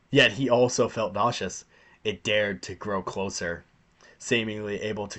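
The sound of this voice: This is an unforced reading voice. It is heard throughout.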